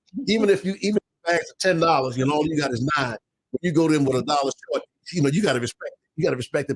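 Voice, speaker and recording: Speaking at a very fast pace, a man with a fairly high pitch shows ordinary pitch variation in a dry, close sound with no echo. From Baltimore. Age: 70s. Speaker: minister in addiction recovery. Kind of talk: casual chat.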